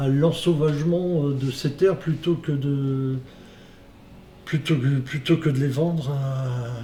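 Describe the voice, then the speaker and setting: At a very slow pace, a man speaks with fairly even intonation at a fairly high pitch. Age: 60s. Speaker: organic fruit farmer. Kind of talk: testimony. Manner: halting, many hesitations.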